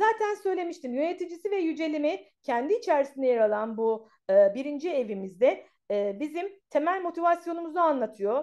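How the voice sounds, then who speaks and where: A woman's high-pitched voice moves through very wide pitch swings. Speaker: astrologer and tarot reader. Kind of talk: astrology forecast monologue. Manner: fast; hesitant fillers.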